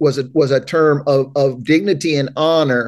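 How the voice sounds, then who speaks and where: A man speaks with an East Tennessee accent. His pitch is fairly high. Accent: US South (East Tennessee). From Knoxville, Tennessee. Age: 50s. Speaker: pastor and counselor. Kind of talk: casual chat. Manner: halting.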